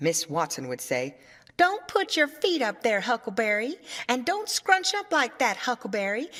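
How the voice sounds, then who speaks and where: Vocal fry marks this woman's speech, and her pitch swings very widely. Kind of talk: audiobook reading for English learners.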